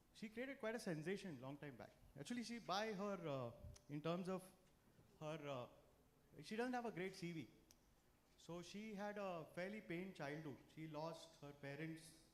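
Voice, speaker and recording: Loud and lively, a man with a high voice speaks at a moderate pace with long, frequent pauses in a room with audible echo. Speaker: financial speaker. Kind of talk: talk to a live audience. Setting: stage with audience. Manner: animated.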